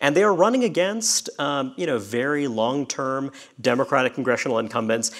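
An unremarkable speaking voice with an American accent, lively intonation and a fairly quick pace. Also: man. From Brooklyn, New York. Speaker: magazine editor and political writer. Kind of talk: panel discussion. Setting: stage with live audience.

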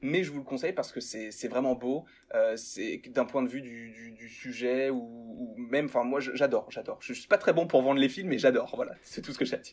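Medium in pitch, a man talks at a fairly quick pace with hardly any pauses. His loudness swings widely while his pitch varies in an ordinary way. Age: young. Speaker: YouTuber, pop culture fan. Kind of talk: casual chat. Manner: hesitant, many repeated words.

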